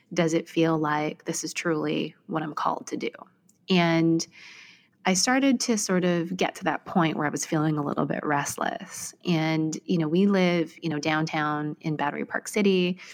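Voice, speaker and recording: A woman's voice with a Canadian accent, fairly low in pitch, with ordinary pitch variation and a moderate pace. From Vancouver, Canada. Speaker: technology marketing executive. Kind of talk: interview conversation.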